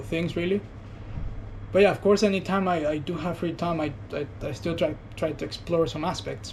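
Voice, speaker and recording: A man speaks at a fairly quick pace with vocal fry and ordinary pitch variation. Audible room echo surrounds the voice. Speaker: vlogger. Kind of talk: personal reflection monologue. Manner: soft-spoken; halting.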